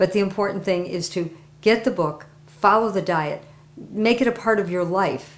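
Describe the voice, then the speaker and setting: Using an unremarkable speaking voice, a woman talks fairly quickly at a medium pitch with ordinary pitch variation. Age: 60s. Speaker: testimonial giver, interpreter. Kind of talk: interview testimony.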